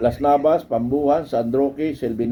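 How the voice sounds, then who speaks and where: At a moderate speed and with ordinary pitch variation, a man with a fairly high pitch talks while noticeable background noise carries on behind him. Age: old. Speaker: retired army officer and political vlogger. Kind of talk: political commentary monologue. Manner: animated, conversational with laughs.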